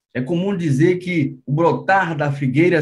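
A man is talking with a high pitch. The rise and fall of his voice is ordinary. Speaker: bible teacher on a channel. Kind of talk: sermon-like teaching.

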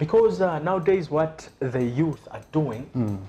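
Noticeable background noise under a man's moderately paced speech, with ordinary pitch variation. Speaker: TV talk show host. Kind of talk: TV talk show interviewing. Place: shop. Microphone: lapel.

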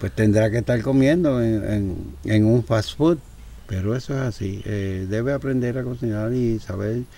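A man at medium pitch, a plain, everyday voice, at a fairly slow pace with ordinary pitch variation. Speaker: war veteran. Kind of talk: casual chat.

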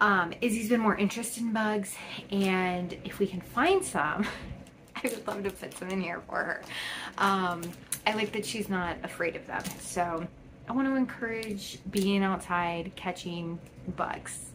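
A woman at a fairly slow pace, with ordinary pitch variation and noticeable background noise. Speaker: haul vlogger. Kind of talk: casual vlog chat. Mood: cheerful and chatty. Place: home room. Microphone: phone near.

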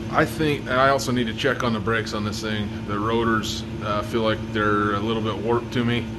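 A man talks at a moderate speed. Noticeable background noise runs throughout. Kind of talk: casual vlog chat. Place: garage. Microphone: phone near.

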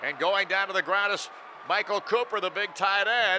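Against noticeable background noise, a man projects a raised, high-pitched voice at a moderate pace. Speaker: radio play-by-play announcer. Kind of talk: live football play-by-play commentary, call of each snap.

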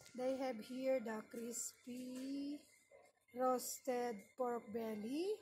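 A woman speaks in a high voice with fairly even intonation over light background noise. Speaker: shopper vlogger. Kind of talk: casual vlog chat. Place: shop. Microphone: phone near.

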